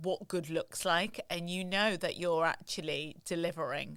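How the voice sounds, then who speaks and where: With a northern English accent, a woman of fairly low pitch speaks in a flat monotone at a moderate pace, in a very clean recording with a silent background. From northern England. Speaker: luxury retail consultant. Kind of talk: interview conversation.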